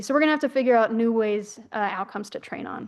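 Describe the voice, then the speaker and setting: A woman talking very fast, her pitch fairly high and its variation ordinary, against a quiet background. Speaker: researcher. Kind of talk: conference presentation. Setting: conference session.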